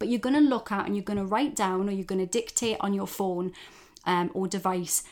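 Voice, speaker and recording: Talking at a fairly quick pace, a woman with a plain, everyday voice and medium pitch shows ordinary pitch variation on a very clean recording with a silent background. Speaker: self-development coach and podcast host. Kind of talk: pep talk. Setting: solo podcast recording. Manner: warm, direct, encouraging; conversational, informal, with swearing.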